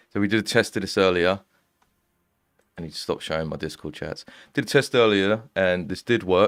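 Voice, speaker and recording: A man with an English accent at a fairly low pitch, fairly quick in pace with long, frequent pauses, big swings in loudness and ordinary pitch variation, on a very clean recording with a silent background. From East London. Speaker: music producer and streamer. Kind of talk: live stream casual chat. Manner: casual, hesitant with fillers.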